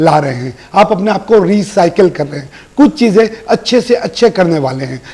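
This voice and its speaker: A man with a high-pitched voice talks at a moderate pace over noticeable background noise. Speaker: astrologer and tarot reader. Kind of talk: weekly horoscope reading.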